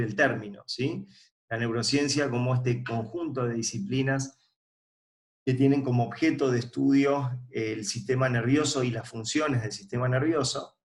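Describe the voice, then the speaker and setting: A man with an Argentine accent speaks at a moderate pace in a medium pitch, his voice somewhat breathy and his intonation fairly even, with audible echo from the room. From Argentina. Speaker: forensic psychology expert. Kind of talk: recorded lecture. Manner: hesitant with filler words.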